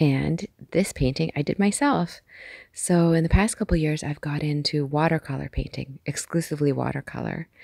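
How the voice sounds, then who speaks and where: Soft-spoken and dark, mellow in tone, a woman speaks at a moderate pace with a very deep, low pitch and fairly even intonation, the sound dry with no echo over a quiet background. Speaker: amateur artist. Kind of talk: ASMR art collection tour. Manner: calm. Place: home room. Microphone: phone near.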